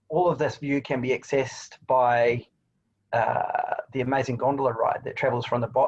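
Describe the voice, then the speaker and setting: A man with a New Zealand accent talks at a fairly quick pace. His voice is somewhat breathy, with fairly even intonation. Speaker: tourism attraction representative. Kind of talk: webinar presentation.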